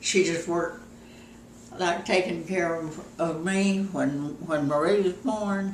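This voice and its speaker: Noticeable background noise sits behind a woman with a fairly low pitch. She talks at a very slow pace with ordinary pitch variation. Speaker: grandmother telling life stories. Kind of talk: casual reminiscing in an interview.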